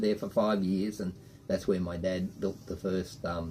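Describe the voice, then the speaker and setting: The voice has a dark, mellow tone and an Australian accent. Its pace is fairly quick. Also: man. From Australia (Queensland). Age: 60s. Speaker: boat owner telling family stories. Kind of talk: casual storytelling interview.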